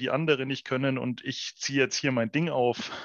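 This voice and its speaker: The intonation stays monotone and flat. It belongs to a man with a medium-pitched voice. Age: 30s. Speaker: entrepreneur. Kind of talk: casual chat. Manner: hesitant, many fillers.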